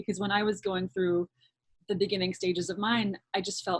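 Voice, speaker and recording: Somewhat breathy speech from a woman at a fairly quick pace, fairly even in intonation, with a dry, close sound and no echo. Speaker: actor. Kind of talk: interviewer, casual conversation.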